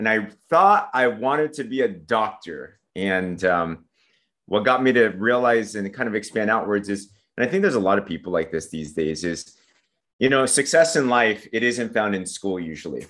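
Over a quiet background, a man with a Southern Californian accent speaks at a moderate pace in a fairly low voice with lively intonation. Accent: Southern California American. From San Diego, California. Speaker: network marketer. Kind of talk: casual interview chat. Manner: upbeat, motivational.

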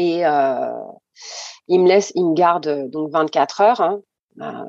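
With a dark, mellow tone, the woman speaks at a fairly low pitch. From mainland France, Réunion-born. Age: 40s. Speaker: mother sharing her story. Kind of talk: testimony.

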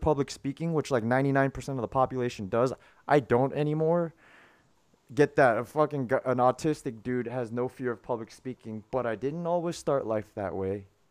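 A man's medium-pitched voice at a moderate pace with ordinary pitch variation. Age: 30s. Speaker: podcast host and marketing coach. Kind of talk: casual coaching chat. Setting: video call. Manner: animated.

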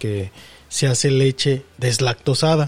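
This man's voice is fairly high and somewhat breathy. His pitch varies in an ordinary way. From Mexico. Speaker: podcast co-host. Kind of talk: casual chat.

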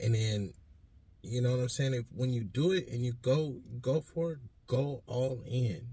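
A man speaks with an American accent and a somewhat breathy voice. His pitch varies in an ordinary way. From Stockton, California. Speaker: radio host and music producer. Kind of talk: casual interview.

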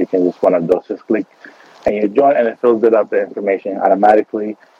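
Background noise is noticeable. The speaker is a man. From Beirut, Lebanon. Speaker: casting director and actor. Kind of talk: radio interview. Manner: halting, many fillers.

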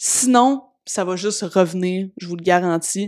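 In a very clean recording with a silent background, a woman speaks with a Quebec accent. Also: dry, close sound with no echo. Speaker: personal development podcaster. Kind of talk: solo podcast monologue.

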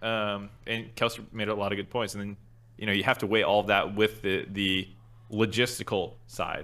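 The man's intonation is monotone and flat. He talks at a moderate pace. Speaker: podcast co-host. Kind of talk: casual chat.

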